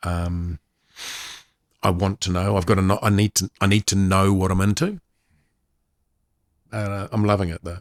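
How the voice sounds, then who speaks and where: A man's very deep, low voice with a New Zealand accent, moderate pace, long, frequent pauses, monotone, flat intonation, dry, close sound with no echo and a very clean recording, silent background. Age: 60s. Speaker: sports commentator. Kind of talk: casual chat.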